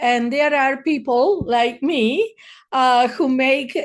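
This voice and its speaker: Speaking at a very slow pace with a Spanish accent, a woman with a high pitch is heard against a quiet background. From Argentina, Buenos Aires. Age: 50s. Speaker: therapist, podcast host. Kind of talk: casual monologue. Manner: hesitant, many fillers.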